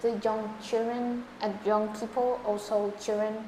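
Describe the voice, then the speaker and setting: Speaking with a Vietnamese accent, a woman talks at a very slow pace with fairly high pitch and monotone, flat intonation. There is noticeable background noise and audible room echo. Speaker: English test candidate. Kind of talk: speaking exam interview. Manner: halting.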